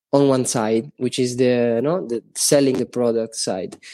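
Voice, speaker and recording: Speaking at a moderate pace with an Italian accent, a man has a dark, mellow tone at medium pitch with ordinary pitch variation. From Italy. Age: 20s. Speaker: NFT project developer. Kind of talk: interview. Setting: remote call.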